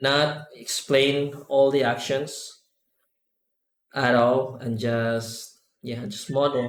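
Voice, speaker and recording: Amid audible room echo, a man with a non-native accent speaks at a very slow pace with long, frequent pauses, a medium pitch and monotone, flat intonation. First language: not English. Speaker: 3D artist and add-on developer. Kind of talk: live tutorial. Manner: sometimes slow, searching for words; halting, many fillers.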